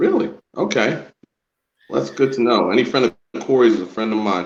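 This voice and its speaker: Vocal fry marks a man's medium-pitched voice as he talks at a fairly quick pace with very wide pitch swings. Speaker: independent wrestling ring announcer. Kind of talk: podcast interview answer.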